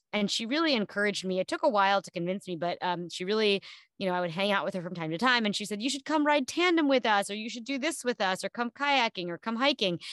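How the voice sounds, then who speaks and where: Someone with an American accent speaks at a very fast pace with hardly any pauses and lively intonation. The sound is dry and close with no echo, and the background is quiet. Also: woman, medium pitch for a woman. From New Jersey, US East Coast. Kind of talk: interview conversation. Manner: hesitant, many fillers and restarts.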